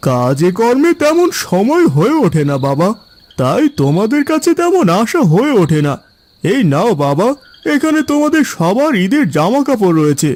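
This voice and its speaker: A man's cartoonish character voice, high in pitch, at a moderate pace with very wide pitch swings. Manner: warm, calm.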